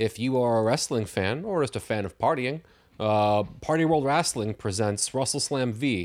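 The recording is very clean with a silent background, and the man has an ordinary speaking voice. He talks at a moderate pace with lively intonation. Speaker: returning podcast guest, wrestling fan. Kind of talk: casual chat.

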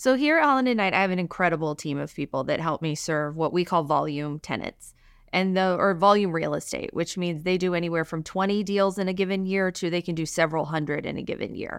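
In a very clean recording with a silent background, a speaker with an American accent talks at a very fast pace with hardly any pauses and ordinary pitch variation. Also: woman, fairly low pitch for a woman. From Alabama, US South. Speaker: real estate attorney. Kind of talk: interview.

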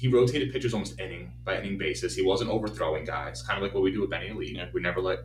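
Over noticeable background noise, a man rushes at a very fast pace in a fairly low voice with very wide pitch swings. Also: hardly any pauses. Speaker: baseball coach and podcast host. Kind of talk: casual chat.

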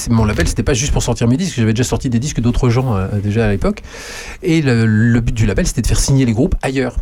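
Noticeable background noise accompanies a man speaking at a medium pitch with ordinary pitch variation. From western France, Poitou. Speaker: radio host and musician. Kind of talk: casual chat. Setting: studio.

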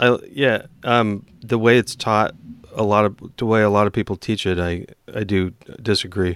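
An unremarkable speaking voice, a man with an American accent talks at a moderate pace in a fairly low pitch with fairly even intonation, in a very clean recording with a silent background. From eastern Washington, US. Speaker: software engineer and podcast host. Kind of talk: casual chat.

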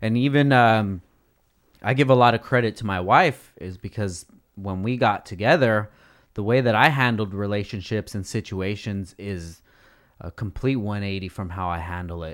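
This man has an unremarkable speaking voice with a fairly low pitch and ordinary pitch variation. He goes at a moderate pace, with big swings in loudness. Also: very clean recording, silent background. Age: 30s. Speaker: podcast host. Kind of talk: casual chat. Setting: studio.

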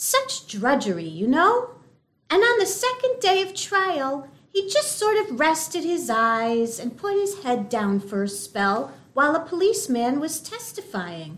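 A woman speaks at a fairly slow pace with an extremely high pitch. Her pitch swings very widely. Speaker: actor playing a distressed wife. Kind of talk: noir parody, dramatized. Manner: breathy, dithery, damsel-in-distress.

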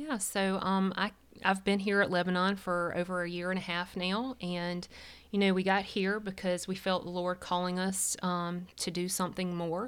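In a very clean recording with a silent background, a woman speaks at a moderate pace and medium pitch with a Southern US accent, her intonation monotone and flat. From US South, South Carolina. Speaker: church staff member. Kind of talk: testimony.

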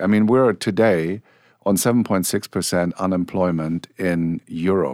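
With a German accent, a man speaks at a fairly slow pace in a very deep, low pitch with ordinary pitch variation. His loudness stays very even on a very clean recording with a silent background. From Germany. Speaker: portfolio manager. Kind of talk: panel discussion. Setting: studio.

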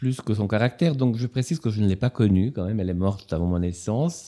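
A man's fairly low voice has a dark, mellow tone and ordinary pitch variation. The recording is very clean, with a silent background. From Ticino, Switzerland. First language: Italian (speaking French). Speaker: novelist and literature professor. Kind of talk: author interview.

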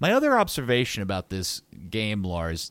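A man talks at a moderate pace with very wide pitch swings. The recording is very clean, with a silent background. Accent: American. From United States. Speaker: broadcaster and football guest.

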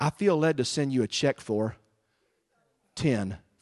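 The speaker has an animated tone and lively intonation. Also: man. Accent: Southern US. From US South, Texas. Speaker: guest preacher. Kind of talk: sermon. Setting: church with congregation.

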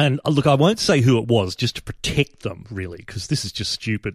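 On a very clean recording with a silent background, a man at a medium pitch sounds somewhat breathy and makes very wide pitch swings. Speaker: podcast host. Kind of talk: satirical podcast monologue. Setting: live stream. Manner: animated.

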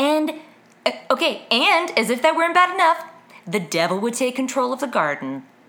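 A woman's high, raised, projected voice with very wide pitch swings. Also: moderate pace. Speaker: podcast host. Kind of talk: casual chat.

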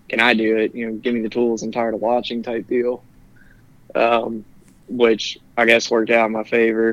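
A man with a US Midwestern accent speaks at medium pitch. His intonation is monotone and flat, and his pace is moderate. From Ohio, Cincinnati area. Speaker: electrician. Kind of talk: interview.

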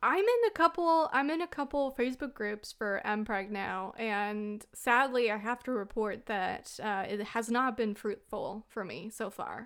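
A woman with a Southern US accent speaks at a fairly high pitch and a fairly slow pace, her intonation lively and her delivery hardly pausing, on a very clean recording with a silent background. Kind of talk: casual chat.

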